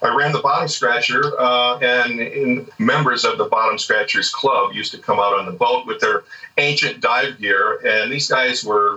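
A man with a Californian accent at a fairly slow pace, over noticeable background noise. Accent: Californian American. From US West Coast, Southern California. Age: 60s. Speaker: dive instructor and spearfisher. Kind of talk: casual interview chat.

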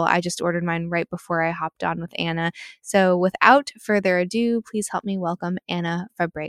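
Delivered in an ordinary speaking voice, the speech moves at a fairly quick pace with fairly even intonation and a dry, close sound with no echo. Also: woman. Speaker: podcast host. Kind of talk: casual interview.

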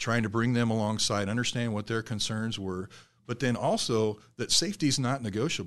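Against a quiet background, the speaker talks at a fairly quick pace in a Midwestern US accent. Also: man, medium pitch for a man, ordinary pitch variation. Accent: US Midwest. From south central Nebraska. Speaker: safety manager. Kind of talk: casual interview.

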